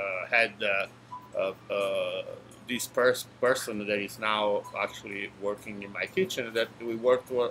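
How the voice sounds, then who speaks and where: Music plays in the background as a man with an Italian accent speaks at a medium pitch with fairly even intonation. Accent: natural Italian. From Italy, Naples area. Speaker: restaurant owner. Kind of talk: casual interview. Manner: halting, many fillers.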